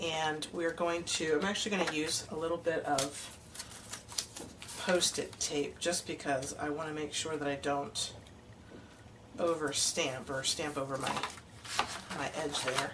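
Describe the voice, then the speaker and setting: Against noticeable background noise and audible room echo, a woman speaks with a very deep, low pitch and fairly even intonation. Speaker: card-making demonstrator. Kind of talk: tutorial. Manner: casual, hesitant with fillers.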